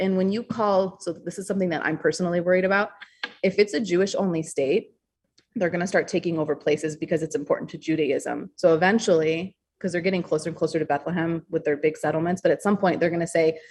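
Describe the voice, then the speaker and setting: A woman talks at a very fast pace in an American accent. Her pitch is fairly low and her intonation fairly even. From US Upper Peninsula, Michigan. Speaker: author. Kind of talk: podcast interview. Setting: call.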